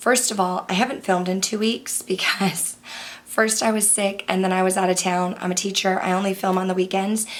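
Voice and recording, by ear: In a put-on character voice, a woman speaks hoarsely at a fairly quick pace and medium pitch.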